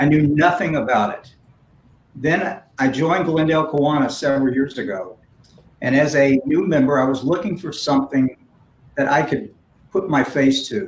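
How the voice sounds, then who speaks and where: The somewhat breathy speaker moves at a moderate pace with long, frequent pauses, ordinary pitch variation, and big swings in loudness. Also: man, fairly high pitch for a man. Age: 60s. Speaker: philanthropist and community leader. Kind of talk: panel conversation. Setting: virtual event.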